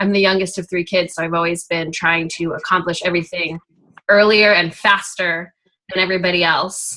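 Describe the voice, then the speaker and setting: A woman talks at a fairly quick pace and a medium pitch. Her tone is bright and sharp, her intonation monotone and flat. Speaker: team member. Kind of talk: sharing on a group call. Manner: halting.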